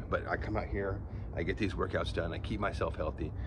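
A man talks over noticeable background noise. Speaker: fitness vlogger. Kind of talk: casual vlog chat. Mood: candid, slightly wry. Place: garden. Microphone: phone near.

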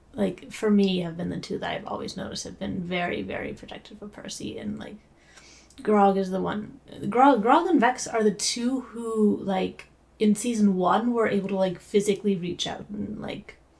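A woman speaks at a moderate pace with ordinary pitch variation. Her loudness swings a lot. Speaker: reaction streamer. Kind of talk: casual reaction commentary. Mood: emotional, pleading with character. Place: home room.

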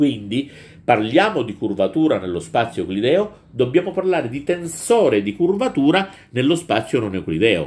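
A man speaks at a moderate pace with a fairly high pitch. His voice has vocal fry and very wide pitch swings. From Southern Italy, Calabria (Reggio Calabria). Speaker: teacher. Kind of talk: lecture. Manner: hesitant, with frequent fillers. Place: home room. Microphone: webcam.

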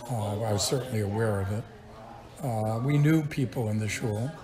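Noticeable background noise sits behind a speaker with a New York accent who talks at a moderate pace with ordinary pitch variation. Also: man. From Brooklyn, New York. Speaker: retired chemistry professor. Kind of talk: interview answer. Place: home room.

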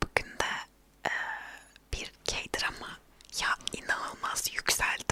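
Whispered speech from a woman, with background noise clearly present. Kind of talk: casual ASMR talk to camera about TV dramas. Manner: whispered, soft.

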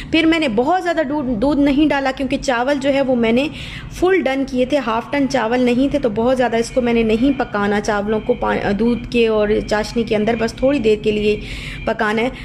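A woman speaks at a high pitch with ordinary pitch variation and very even loudness over noticeable background noise. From Pakistan. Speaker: cooking vlogger and mother. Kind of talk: voiceover cooking tutorial. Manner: casual, hesitant with fillers.

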